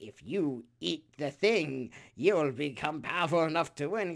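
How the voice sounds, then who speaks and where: A man speaks in a put-on character voice pitched fairly high. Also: moderate pace. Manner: sinister, tempting.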